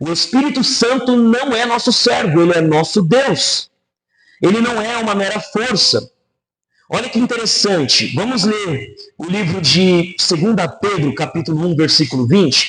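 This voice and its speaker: Speaking at a moderate pace, a man uses a high voice with very wide pitch swings. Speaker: pastor. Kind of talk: sermon.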